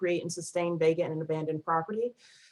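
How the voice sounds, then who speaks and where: A woman with a fairly low pitch speaks in a northern US accent. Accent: northern US (Yankee). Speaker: nonprofit project coordinator. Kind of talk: presentation. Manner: fast.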